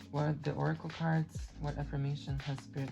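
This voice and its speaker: Music sounds in the background while the words come at a fairly quick pace. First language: not English. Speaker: tarot reader. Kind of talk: pick-a-card tarot reading. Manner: halting, with many fillers.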